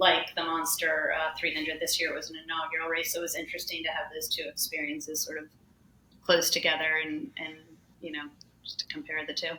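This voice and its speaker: A woman's fairly low, monotone voice with flat intonation and noticeable background noise. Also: fairly quick pace. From US South. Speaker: ultrarunner. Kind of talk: podcast interview.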